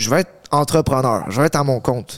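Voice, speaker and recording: A man with an unremarkable speaking voice talks at a fairly quick pace and medium pitch with ordinary pitch variation, recorded very cleanly over a silent background with a dry, close sound and no echo. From Montreal, Quebec. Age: 20s. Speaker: fitness coach, content creator. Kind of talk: casual interview.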